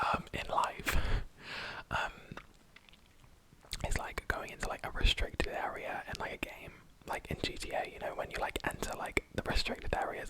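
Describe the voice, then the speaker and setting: Someone whispers at a moderate pace, with long, frequent pauses. Noticeable background noise runs underneath. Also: man. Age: young. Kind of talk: ASMR whisper ramble. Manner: whispered.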